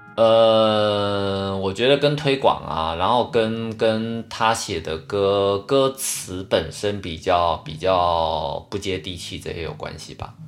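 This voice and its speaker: With hardly any pauses, a man speaks at a very slow pace and fairly low pitch, showing ordinary pitch variation and big swings in loudness in a very clean recording with a silent background. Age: middle-aged. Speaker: podcast co-host. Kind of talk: casual chat.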